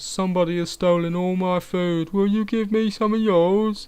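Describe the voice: The man puts on a character voice, pitched high and paced moderately.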